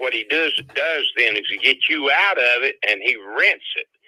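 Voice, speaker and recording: A man is speaking. He has a Southern US accent. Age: 70s. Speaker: home seller. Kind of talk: phone call. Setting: phone call.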